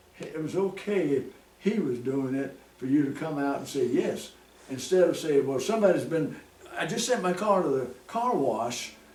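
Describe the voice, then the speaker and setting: Speaking with an American accent at a moderate pace, the voice has lively intonation, with audible room echo and noticeable background noise. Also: man, fairly high pitch for a man. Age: 90s. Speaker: country musician and show host. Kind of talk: casual chat. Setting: at home.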